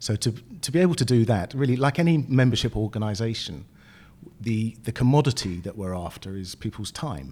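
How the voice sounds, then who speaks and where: In a very clean recording with a silent background, a man with a British accent speaks at a fairly quick pace in a dark, mellow tone at a medium pitch with lively intonation. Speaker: business group chairman. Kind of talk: interview.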